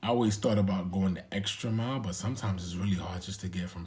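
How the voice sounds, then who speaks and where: A somewhat breathy man with a very deep, low pitch and an American accent. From New York. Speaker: vlogger. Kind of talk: casual vlog monologue. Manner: halting.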